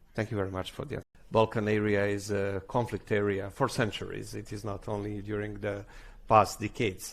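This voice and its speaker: This man has a Serbian accent, a fairly low pitch and some vocal fry, and he talks at a moderate pace. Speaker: government official. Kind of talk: conference speech. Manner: halting.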